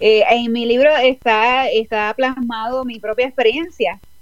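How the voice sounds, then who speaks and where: Here is a woman with an ordinary speaking voice. She speaks at a fairly slow pace with fairly even intonation. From Puerto Rico. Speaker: author and life coach. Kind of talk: online interview.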